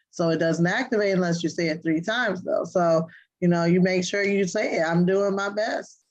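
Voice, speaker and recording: A woman's mid-range voice moves at a medium speed, her intonation fairly even. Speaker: parenting show co-host. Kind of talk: casual chat. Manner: subdued.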